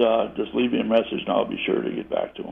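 A man with an American accent at a very fast pace. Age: 70s. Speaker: caller. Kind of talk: phone-in sales listing. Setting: phone call. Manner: halting.

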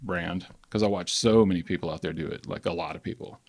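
A man speaks very fast with a Southern US accent. His pitch is fairly low and his intonation fairly even. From Alabama. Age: 40s. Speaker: skateboard maker. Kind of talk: casual chat.

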